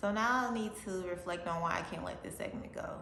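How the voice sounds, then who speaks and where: Speaking at a fairly quick pace with ordinary pitch variation, a woman is heard over noticeable background noise and audible room echo. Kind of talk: testimony. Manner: halting, stumbles on words.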